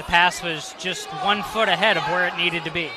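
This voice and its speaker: A man talks at a high pitch with fairly even intonation. There is noticeable background noise behind him. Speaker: color analyst on radio broadcast. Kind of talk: live sports commentary, analysis. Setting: gym, radio broadcast. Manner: conversational, relaxed.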